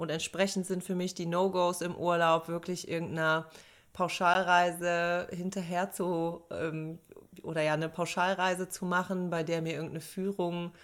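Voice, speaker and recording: This woman has a fairly low pitch and a monotone, flat delivery at a moderate pace. The recording is very clean, with a silent background. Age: 30s. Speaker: podcast co-host, psychologist. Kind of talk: casual chat.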